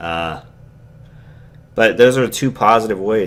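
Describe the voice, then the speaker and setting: A man mumbles at a moderate pace. His pitch sits fairly low. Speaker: YouTuber. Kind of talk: vlog monologue. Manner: mumbling; casual, hesitant with fillers.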